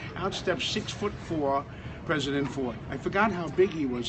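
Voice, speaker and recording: Over noticeable background noise, a man with an American accent talks at a moderate speed. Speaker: former firefighter and shoe shiner at an airport. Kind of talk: casual storytelling to camera.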